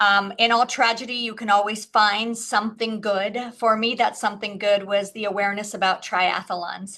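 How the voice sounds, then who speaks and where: Speaking with an American accent and a bright, sharp tone, a woman holds a medium pitch and a moderate pace in flat monotone intonation, with hardly any pauses. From California, Los Angeles. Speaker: entrepreneur and triathlete. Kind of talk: panel discussion. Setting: webinar.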